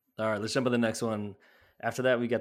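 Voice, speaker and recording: A man with an American accent and a plain, everyday voice, medium in pitch, with ordinary pitch variation. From US Midwest, Chicago area. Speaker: fantasy football podcast host. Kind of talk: casual sports chat.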